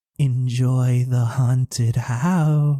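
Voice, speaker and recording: Putting on a character voice, a man holds a medium pitch. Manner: playful, spooky.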